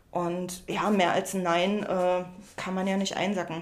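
A woman with a medium pitch talks in a room with audible echo. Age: 30s. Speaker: upcycling artist. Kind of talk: interview.

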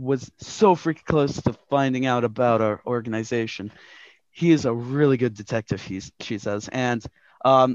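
The recording has a natural reading voice over a quiet background.

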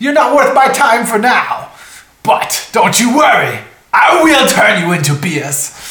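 A man's put-on character voice at an extremely high pitch, with very wide pitch swings, a fairly slow pace and slight echo. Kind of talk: comic villain voice. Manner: gloating, evil.

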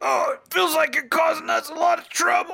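A man talks at a moderate speed in a raspy, put-on character voice. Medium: actual play.

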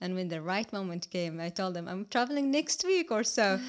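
On a very clean recording with a silent background, a woman with an Arabic accent speaks at a fairly quick pace. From Palestine. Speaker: podcast guest, cooking workshop host. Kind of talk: casual interview. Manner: halting.

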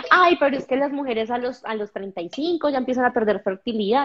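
In an animated tone, a woman's voice makes very wide pitch swings. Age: 30s. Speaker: skating instructor and presenter. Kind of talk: podcast interview.

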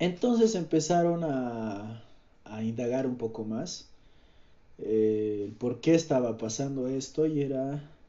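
Very slowly, a man delivers his words. His pitch shows ordinary variation. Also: medium pitch for a man. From Bolivia, Cochabamba. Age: 20s. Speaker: podcaster. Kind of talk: casual monologue. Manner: halting.

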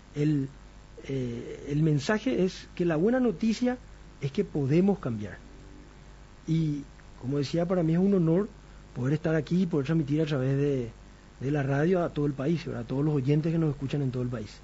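Fairly high in pitch and somewhat breathy, a man keeps a moderate pace with ordinary pitch variation and long, frequent pauses. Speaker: doctor and radio health show host. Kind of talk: radio health talk show.

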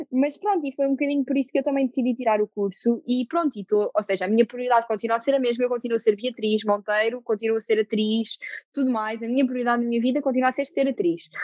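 A woman talks at a very fast pace with hardly any pauses. Her pitch is high, with ordinary variation. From Portugal, Lisbon. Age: 20s. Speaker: actress. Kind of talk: casual interview.

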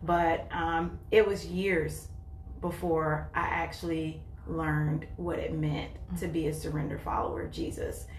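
A woman with an American accent at a fairly slow pace, noticeable background noise behind her. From North Carolina. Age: 40s. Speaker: churchgoer sharing faith. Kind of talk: testimony.

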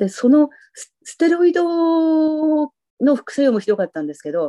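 A woman's dark, mellow voice with very wide pitch swings, dry and close with no echo, against a quiet background. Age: 60s. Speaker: retired freelance writer. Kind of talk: casual interview.

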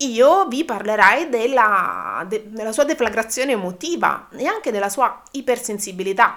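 At a moderate pace and with hardly any pauses, a woman speaks in a fairly high pitch with lively intonation. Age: 40s. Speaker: dog trainer. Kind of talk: educational podcast monologue. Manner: halting.

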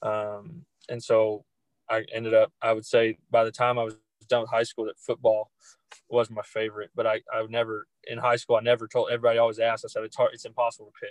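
A man with a medium pitch talks at a very fast pace in a monotone, flat intonation, with big swings in loudness and a dry, close sound with no echo. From Arkansas (Greenbrier). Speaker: high school football coach. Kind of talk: casual interview.

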